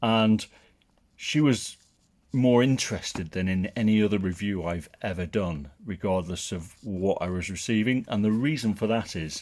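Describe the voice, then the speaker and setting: Heard in a very clean recording with a silent background, a man with a northern English accent speaks at a moderate pace and a fairly low pitch, with ordinary pitch variation. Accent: northern English twang. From northern England. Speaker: tech product reviewer. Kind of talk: product review and unboxing. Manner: casual and conversational.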